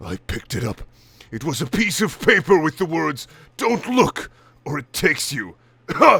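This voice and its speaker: A man does a put-on character voice at a moderate pace on a very clean recording with a silent background. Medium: read story. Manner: arrogant, gruff, scornful.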